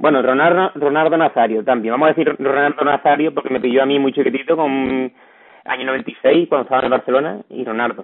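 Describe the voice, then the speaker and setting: With an unremarkable speaking voice, a man speaks fairly quickly at a fairly high pitch and with fairly even intonation. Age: 30s. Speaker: podcast host. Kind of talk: interview.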